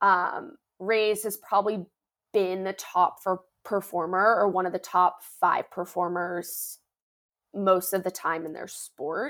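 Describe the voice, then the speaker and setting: In an American accent, a woman with a normal speaking voice talks fairly slowly at medium pitch. Her intonation is fairly even, and the recording is very clean with a silent background. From Northern Virginia, US. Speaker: former college athlete, podcast host. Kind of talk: interview.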